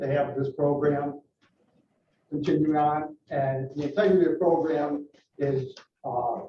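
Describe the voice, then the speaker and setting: A man's fairly high-pitched, somewhat breathy voice. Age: 60s. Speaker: resident speaking at public comment. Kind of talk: public comment at a board meeting.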